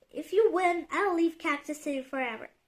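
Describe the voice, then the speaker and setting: A woman in a put-on character voice, growling at an extremely high pitch and a fairly quick pace. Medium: read story. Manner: snarling, bossy.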